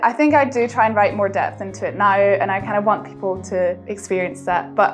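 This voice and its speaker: A woman speaks in a Highland Scottish accent at a moderate pace. Music plays in the background. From Scottish Highlands. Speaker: singer-songwriter and medical student. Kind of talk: interview monologue.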